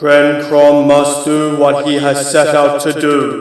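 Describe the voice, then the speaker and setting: In a put-on character voice, a man speaks very slowly and in a monotone, his fairly high pitch carrying a clear echo. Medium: read story. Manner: grave, measured.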